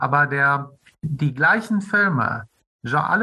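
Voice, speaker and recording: A man's fairly high pitch carries a bright, sharp tone. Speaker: film critic and podcast host. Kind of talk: interview. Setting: remote call.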